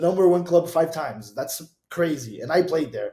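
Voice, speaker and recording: With a Portuguese accent, a man talks at a fairly slow pace in a somewhat breathy voice with a dark, mellow tone. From Brazil. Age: 20s. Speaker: DJ and music producer. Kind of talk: casual interview. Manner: animated.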